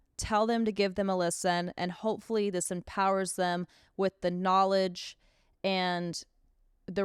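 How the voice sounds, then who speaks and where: On a very clean recording with a silent background and a dry, close sound with no echo, a woman at medium pitch talks at a fairly slow pace with ordinary pitch variation. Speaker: podcast host. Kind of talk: solo podcast monologue. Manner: loud; talkative, rambling.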